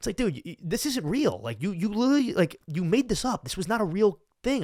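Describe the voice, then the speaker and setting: Heard in a dry, close recording with no echo, a high-voiced man with a Long Island accent talks at a fairly quick pace in an animated tone. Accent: Long Island New York. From Long Island, New York. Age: 20s. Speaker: podcast host. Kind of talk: casual chat. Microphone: new mic.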